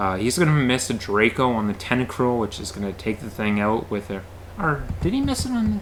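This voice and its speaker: A man with a fairly low pitch speaks at a fairly quick pace. Background noise is noticeable. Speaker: gaming commentator. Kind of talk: live commentary.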